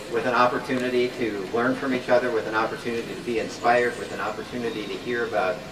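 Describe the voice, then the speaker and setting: With an American accent and a medium pitch, a man speaks at a very fast pace over audible room echo and noticeable background noise. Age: 60s. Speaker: professor and peace activist. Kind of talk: public speech.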